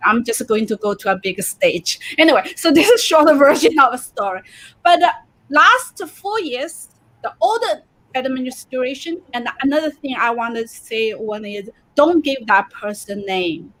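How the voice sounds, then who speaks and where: Very wide pitch swings and big swings in loudness at a moderate pace, with a Chinese accent. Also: woman, high pitch for a woman. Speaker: comedian. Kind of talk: casual chat.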